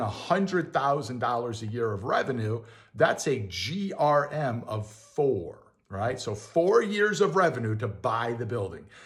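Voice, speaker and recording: Very wide pitch swings in a somewhat breathy voice, with audible room echo. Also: man. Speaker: landlord and real estate video host. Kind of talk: casual tutorial. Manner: fast; casual, many fillers.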